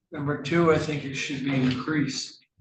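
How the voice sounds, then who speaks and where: A man with a fairly high voice, in a room with audible echo. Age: 70s. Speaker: defense attorney. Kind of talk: courtroom argument.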